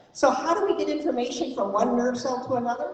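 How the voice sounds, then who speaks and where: Over noticeable background noise and audible room echo, a woman talks at a very fast pace with a high pitch. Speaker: mental health advocate, keynote speaker. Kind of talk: presentation to audience.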